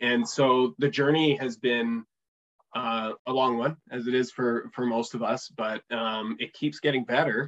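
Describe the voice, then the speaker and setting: Speaking fairly slowly with a Canadian accent, a man has an ordinary speaking voice at medium pitch, recorded with a dry, close sound and no echo. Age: 30s. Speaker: economic development executive and fiction author. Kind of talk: casual interview.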